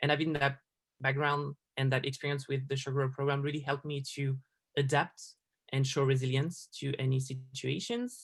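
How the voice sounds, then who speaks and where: Somewhat breathy, a man with a French accent speaks at a fairly high pitch. His intonation is monotone and flat, at a moderate pace. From France. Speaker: designer. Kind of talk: interview.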